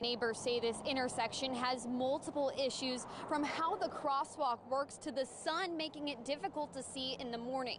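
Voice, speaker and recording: With ordinary pitch variation, the voice moves at a fairly quick pace over noticeable background noise. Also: woman. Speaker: TV news anchor and reporter. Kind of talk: TV news report read.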